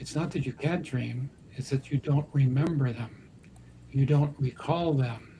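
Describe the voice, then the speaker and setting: Speaking at a fairly slow pace, a man with a fairly high pitch uses a dark, mellow, somewhat breathy tone and monotone, flat intonation. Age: 70s. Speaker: talk show host and dream interpreter. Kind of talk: live talk show discussion.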